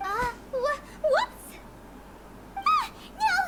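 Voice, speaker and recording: In a squeaky, put-on character voice pitched extremely high, a woman speaks with lively intonation against light background noise. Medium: video game. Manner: polite, slightly hesitant.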